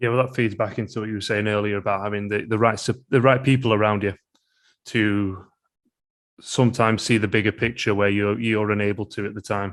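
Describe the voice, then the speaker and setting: Against a quiet background, a man with a British accent speaks fairly quickly in a fairly low pitch and a flat, monotone delivery. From UK. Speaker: podcast host. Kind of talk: podcast interview.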